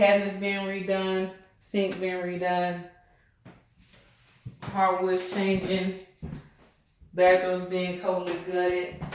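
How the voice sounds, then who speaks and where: In a Southern US accent, the speaker goes at a very slow pace with monotone, flat intonation and long, frequent pauses. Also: woman, medium pitch for a woman. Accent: Southern American. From Southern United States. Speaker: realtor. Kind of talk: casual house-tour vlog talk to camera.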